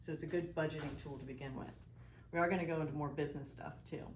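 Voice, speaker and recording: A somewhat breathy woman with a fairly low pitch speaks at a very fast pace in a room with audible echo. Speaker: financial advisor, presenter. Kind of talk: presentation to business group. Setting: live audience in room. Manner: animated.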